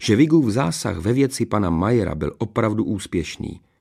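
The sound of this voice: Intonation stays lively as the speaker reads in an unforced reading voice.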